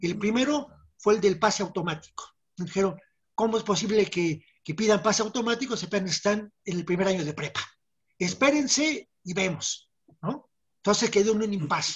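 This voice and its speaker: A woman talks at a moderate pace with a medium pitch, a somewhat breathy quality and lively intonation. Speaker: former student activist. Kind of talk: interview testimony.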